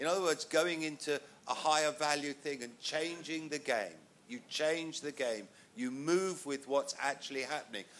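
Using a southern English accent, a man with a fairly high pitch talks at a moderate pace with ordinary pitch variation. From England. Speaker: music manager, panelist. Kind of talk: panel discussion. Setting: stage with audience.

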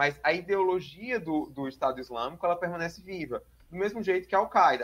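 The man speaks at a fairly quick pace with a high pitch. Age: 20s. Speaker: doctoral researcher in international politics and religion. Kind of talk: interview.

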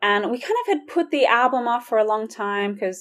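The speaker has a slight Australian accent, a moderate pace, and ordinary pitch variation. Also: woman. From Sydney, Australia. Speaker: music minister and ministry worker. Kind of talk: casual interview chat.

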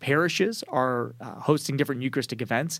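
In a very clean recording with a silent background, a man with a normal speaking voice and fairly high pitch talks at a fairly quick pace. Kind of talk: interview answers. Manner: articulate, organized.

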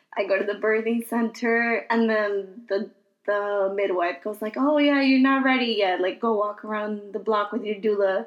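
With an American accent, a woman speaks in an unremarkable speaking voice at a fairly high pitch, with fairly even intonation and a moderate pace. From Queens, New York. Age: 30s. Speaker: podcast host, mother. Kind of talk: casual chat.

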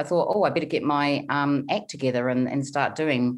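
Speaking at a moderate pace, the woman has a very deep, low pitch and ordinary pitch variation. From New Zealand, small town. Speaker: money coach. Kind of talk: interview.

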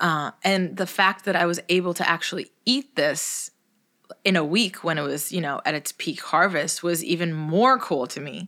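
A woman with an American accent speaks at a fairly low pitch. Her tone is bright and sharp. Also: ordinary pitch variation, moderate pace. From Los Angeles area, US. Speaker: chef. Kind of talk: casual chat. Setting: studio.

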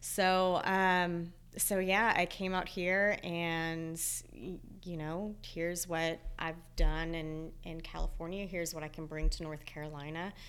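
In a room with audible echo, a woman with an American accent speaks at a fairly slow pace in a fairly low, flat, monotone voice. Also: big swings in loudness. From Texas. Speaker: operations coach. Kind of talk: casual interview.

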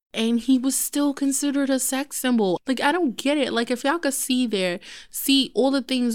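In a very clean recording with a silent background, a woman with a New York accent speaks at a moderate pace. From New York City, Brooklyn. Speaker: podcast co-host. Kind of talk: casual chat. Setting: studio.

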